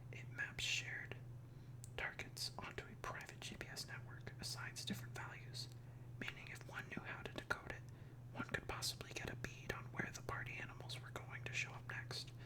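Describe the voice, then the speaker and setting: Someone whispers at a moderate pace. Noticeable background noise sits behind the voice. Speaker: ASMR comic book reader. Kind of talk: ASMR comic reading. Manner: whispered.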